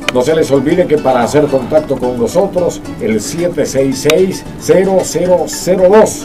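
Lively intonation from a man at a fairly slow pace, over clear music in the background. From Venezuela. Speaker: veteran radio announcer. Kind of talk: radio announcer on-air patter. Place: studio. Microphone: studio mic.

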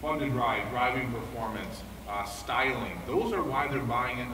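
Amid noticeable background noise, a man speaks at a moderate pace with fairly even intonation. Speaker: automotive product planner. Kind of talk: product presentation. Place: hall. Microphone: camera far.

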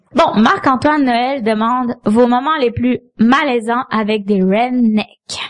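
Speaking at a very slow pace with hardly any pauses, a woman with a Quebec accent keeps a high pitch, ordinary pitch variation and very even loudness. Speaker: comedian. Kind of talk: casual chat.

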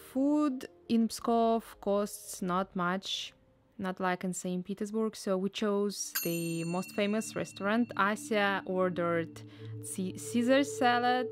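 With a Russian accent, a woman speaks at a very slow pace in a medium pitch with ordinary pitch variation. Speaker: travel vlogger. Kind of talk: travel vlog narration.

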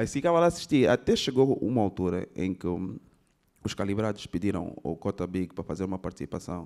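With an Angolan accent and a fairly low pitch, a man speaks at a fairly quick pace with lively intonation against a quiet background. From Angola, Benguela. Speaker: rapper and actor; actor. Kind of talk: interview. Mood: relaxed, animated storytelling. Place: stage. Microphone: handheld.

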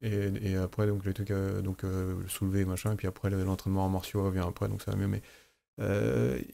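A man speaks with a very deep, low pitch and a dark, mellow tone. His pace is moderate, his pitch variation ordinary, and his loudness very even. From France. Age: 40s. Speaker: aikido teacher. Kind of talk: casual chat. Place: studio. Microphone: studio mic.

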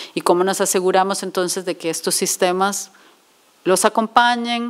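The pace is moderate. The intonation stays fairly even. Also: woman. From Costa Rica. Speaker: speaker. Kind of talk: lecture. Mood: earnest, explanatory. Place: hall. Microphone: podium.

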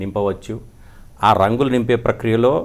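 This man has an unremarkable speaking voice, fairly low in pitch, with fairly even intonation. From Andhra Pradesh, India. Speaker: founder of a Gita education institute. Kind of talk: interview. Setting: studio.

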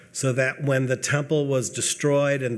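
A man speaks with an American accent. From US Midwest. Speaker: speaker. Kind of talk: panel talk. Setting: stage with audience. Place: hall. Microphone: podium.

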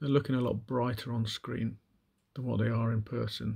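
A man speaks at a medium pitch in a dark, mellow tone. His voice is somewhat breathy. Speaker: miniature painting hobbyist. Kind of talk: casual show-and-tell video. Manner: hesitant with many fillers.

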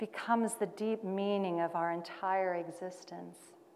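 Here a woman with a plain, everyday voice speaks with fairly even intonation. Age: 50s. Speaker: cabaret singer and performance artist. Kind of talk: scripted monologue performance. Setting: stage at a conference. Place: hall.

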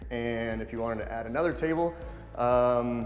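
A man speaks with ordinary pitch variation. Audible room echo surrounds him, with faint music in the background. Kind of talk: home tour commentary. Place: home room.

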